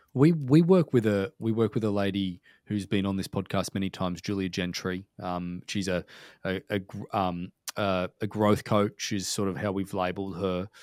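The sound is dry and close, with no echo. A man with an Australian accent speaks at a fairly low pitch. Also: ordinary pitch variation, moderate pace. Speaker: podcast host. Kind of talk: casual interview. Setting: video call.

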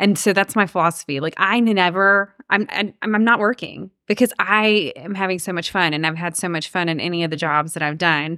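A woman's bright, sharp voice at medium pitch, in a Georgia accent with ordinary pitch variation, fairly quick and with hardly any pauses, on a very clean recording with a silent background. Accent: US Southern (Georgia). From Georgia, Cherokee County. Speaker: realtor. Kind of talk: interview conversation.

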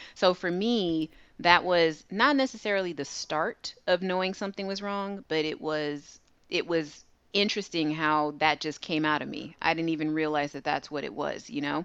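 At a moderate pace, a woman with a plain, everyday voice speaks at fairly low pitch with ordinary pitch variation against a quiet background. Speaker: guest, credit repair business owner. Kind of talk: casual interview conversation.

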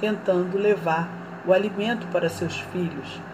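Against noticeable background noise and audible room echo, a woman speaks at a fairly slow pace in a fairly low pitch with ordinary pitch variation. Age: 40s. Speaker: journalism student and social activist. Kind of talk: scripted narration. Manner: formal.

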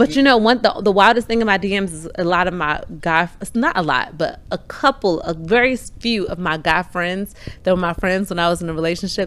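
Over noticeable background noise, a woman with an American accent speaks in an animated tone at a fairly quick pace, with hardly any pauses, medium pitch and ordinary pitch variation. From Maryland, PG County. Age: 20s. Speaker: barber and podcast host. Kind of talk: casual chat.

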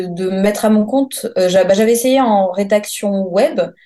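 Her pitch is medium as this woman talks at a very slow pace. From Paris region, France. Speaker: freelance press officer. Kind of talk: interview. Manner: halting, many hesitations.

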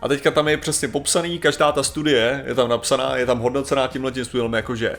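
Noticeable background noise fills the clip. The voice belongs to a man. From Czechia. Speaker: podcast co-host. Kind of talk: casual chat.

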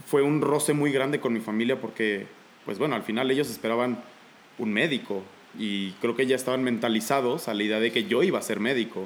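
An unremarkable speaking voice from a man at medium pitch, a fairly quick pace and ordinary pitch variation. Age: 20s. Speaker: aspiring airline pilot and paramedic. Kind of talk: casual chat.

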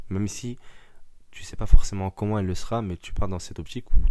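A man speaks at a very fast pace. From Paris suburbs, France. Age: 20s. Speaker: musician. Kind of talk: casual chat.

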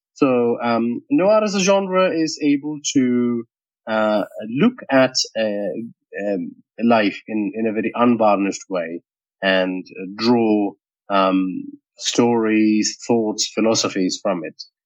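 The recording is dry and close, with no echo. A man at medium pitch speaks very slowly with lively intonation. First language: not English (English is his third language). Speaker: podcast writer and voice actor. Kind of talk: interview. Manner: hesitant, many fillers.

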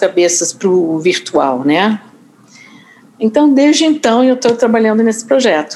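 Very wide pitch swings mark this voice with a Rio de Janeiro accent. The pace is fairly slow. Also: woman. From US Northeast. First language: English (speaking Portuguese). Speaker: journalist and author. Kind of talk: interview. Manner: hesitant, many fillers.

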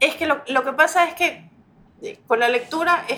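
A woman speaks at a fairly slow pace. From Ecuador, Guayaquil. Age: 40s. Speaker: educational psychologist and actress. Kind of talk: casual chat.

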